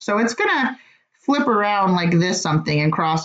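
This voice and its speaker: In an ordinary speaking voice, a woman talks at medium pitch with lively intonation. Her pace is fairly quick. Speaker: math teacher. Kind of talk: online class quiz review lecture.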